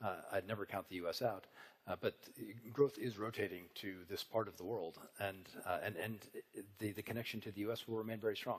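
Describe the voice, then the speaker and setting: A man with an American accent and an unremarkable speaking voice talks in a fairly low pitch with fairly even intonation. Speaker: business panelist. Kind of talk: panel discussion.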